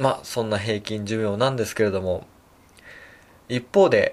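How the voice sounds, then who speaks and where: The man's voice sits at a medium pitch. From Japan, Tokyo. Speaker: chiropractor and podcast host. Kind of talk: solo podcast talk. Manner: many fillers, hesitant.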